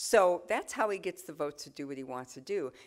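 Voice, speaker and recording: In a very clean recording with a silent background, a woman with a plain, everyday voice speaks at a moderate pace in a fairly low pitch with lively intonation. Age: 60s. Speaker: politician. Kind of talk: talk with audience Q&A.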